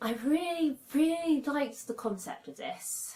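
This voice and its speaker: With a British accent, a woman speaks in a somewhat breathy voice whose pitch swings very widely. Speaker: book reviewer. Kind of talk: casual talk to camera.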